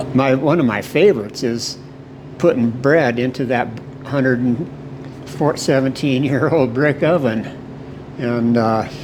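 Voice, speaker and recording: A man at medium pitch with an American accent, fairly slow pace, ordinary pitch variation and long, frequent pauses, amid noticeable background noise and audible room echo. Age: 70s. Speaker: baker. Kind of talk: interview, reminiscing. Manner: halting, with fillers and repetitions.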